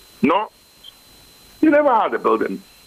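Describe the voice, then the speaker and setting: A man speaks over noticeable background noise. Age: old. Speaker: senior citizen. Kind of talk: TV interview answer.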